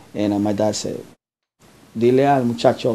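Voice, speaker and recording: The man has a dark, mellow tone and a medium pitch. He speaks at a moderate pace with ordinary pitch variation. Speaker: foster care provider. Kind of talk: interview answer. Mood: warm, affectionate. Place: home room. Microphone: camera far.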